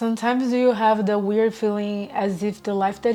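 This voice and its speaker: Over background music, a woman with a medium-pitched voice speaks in a Portuguese accent, her intonation fairly even. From Brazil. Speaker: personal growth vlogger. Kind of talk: casual reflective monologue. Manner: laidback.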